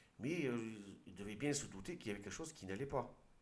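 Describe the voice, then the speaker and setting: A man at a medium pitch swings his voice very widely up and down, with audible echo in the room. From southern France, Aude. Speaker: video commentator. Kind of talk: commentary with reading aloud. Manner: halting, with hesitations.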